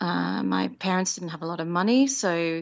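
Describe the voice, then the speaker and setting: A woman speaks with an Australian accent. Her pitch is fairly low and her pace moderate. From Australia, Penrith (western Sydney). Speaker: musical theatre performer. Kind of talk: interview.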